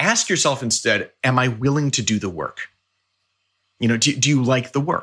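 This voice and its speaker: Here a man speaks in a bright, sharp tone with ordinary pitch variation. The recording is very clean, with a silent background. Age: 40s. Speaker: orchestral timpanist. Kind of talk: casual interview.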